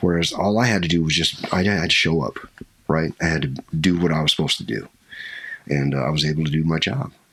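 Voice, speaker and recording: Through noticeable background noise, a man with an American accent and a very deep, low pitch talks at a very fast pace with ordinary pitch variation. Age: 60s. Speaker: skydiving instructor and army veteran. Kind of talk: interview, casual chat.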